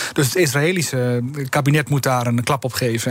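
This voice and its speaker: A man with a fairly high pitch and fairly even intonation at a fairly quick pace, against noticeable background noise. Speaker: politician. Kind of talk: radio interview.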